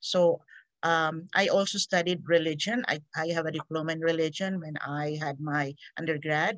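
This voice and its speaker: A woman's fairly low voice with ordinary pitch variation at a moderate pace. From Philippines (Negros Occidental). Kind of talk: casual interview, faith story. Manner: energetic, animated.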